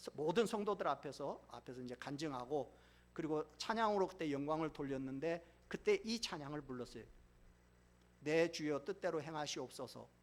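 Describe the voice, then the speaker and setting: A man with a normal speaking voice, fairly high pitch, ordinary pitch variation, big swings in loudness and a moderate pace. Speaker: pastor. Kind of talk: sermon.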